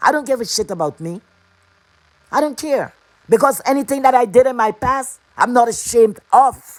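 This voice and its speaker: A woman with a non-native accent speaks at a moderate pace in a high, animated voice with lively intonation. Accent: foreign accent, kept. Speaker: livestream host. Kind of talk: livestream rant. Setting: live stream.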